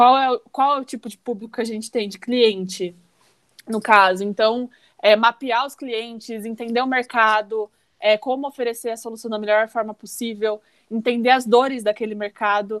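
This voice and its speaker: This woman has a normal speaking voice with a fairly high pitch, fairly even intonation and big swings in loudness. She speaks at a moderate pace in a dry, close sound with no echo. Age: 20s. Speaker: chemical engineering student. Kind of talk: casual chat.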